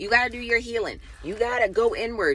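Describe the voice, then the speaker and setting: Speaking at a moderate speed, a woman talks with an American accent. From Baltimore, US. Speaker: spiritual vlogger. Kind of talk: casual monologue. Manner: loud; direct.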